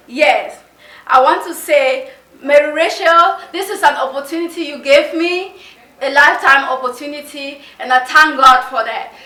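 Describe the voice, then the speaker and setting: A woman speaks in a raised, projected voice at a high pitch and moderate pace, with ordinary pitch variation and big swings in loudness. Audible room echo and noticeable background noise surround her. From Cameroon. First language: Mundani. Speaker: game show contestant applicant. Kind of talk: interview. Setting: conference room.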